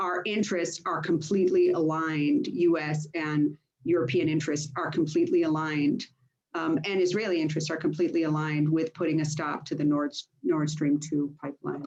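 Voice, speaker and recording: A woman with an American accent, very deep and low in pitch, fairly even in intonation, at a fairly quick pace. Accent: sounds American. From United States and Greece. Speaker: politician. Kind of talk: panel discussion.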